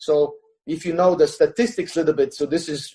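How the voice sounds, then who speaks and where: A man speaks with a high pitch and a dark, mellow tone. His pitch varies in an ordinary way at a moderate pace. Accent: Estonian. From Estonia. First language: Estonian. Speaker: jiu-jitsu coach. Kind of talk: podcast interview. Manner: halting, many fillers.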